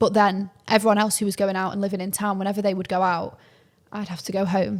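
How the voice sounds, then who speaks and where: In a Mancunian accent, a woman speaks very fast at a medium pitch with monotone, flat intonation. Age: 20s. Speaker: podcast co-host. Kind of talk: casual chat. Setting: in person.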